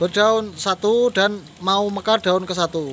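Over light background noise, a man talks at a fairly slow pace with a high pitch and fairly even intonation, the sound dry with no echo. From Indonesia. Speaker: plant seller. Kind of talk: sales pitch. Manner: repetitive promo phrases like 'murah sekali' with filler hesitations. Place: garden. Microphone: phone near.

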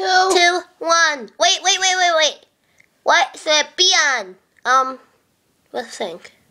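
In a cartoonish character voice pitched extremely high, the speaker goes very slowly, with long, frequent pauses. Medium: puppet. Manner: excited, rambling.

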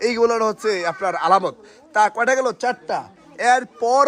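Over noticeable background noise, a man with a Comilla accent speaks in an animated tone with ordinary pitch variation, in a dry, close sound with no echo. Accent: Comilla regional Bengali. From Bangladesh, Comilla. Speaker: snake rescue video presenter. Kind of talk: on-location vlog narration and safety advice.

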